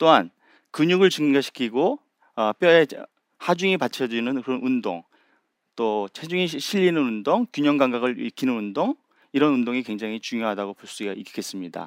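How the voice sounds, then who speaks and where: In a normal speaking voice, a man of medium pitch talks at a moderate pace with lively intonation, recorded dry and close with no echo against a silent background in a very clean recording. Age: 60s. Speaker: endocrinology professor and physician. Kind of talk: public talk on stage. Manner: frequent filler pauses.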